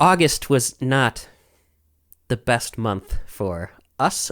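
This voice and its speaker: A man with vocal fry and a fairly high pitch talks very slowly, pausing long and often, in a very clean recording with a silent background. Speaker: podcast co-host. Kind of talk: casual chat.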